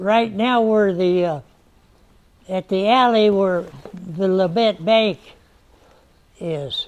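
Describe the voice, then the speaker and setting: Over noticeable background noise, a man with a high pitch speaks at a very slow pace, with ordinary pitch variation and long, frequent pauses. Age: 90s. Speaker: museum volunteer and local historian, long-time member. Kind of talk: casual museum tour explanation, answering host.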